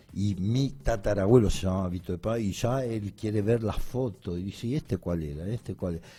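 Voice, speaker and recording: A man speaks with very deep, low pitch and a dark, mellow tone, somewhat breathy. His pace is moderate, with ordinary pitch variation. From Italy (Bari). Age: 60s. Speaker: sports journalist. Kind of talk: radio interview. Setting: radio studio.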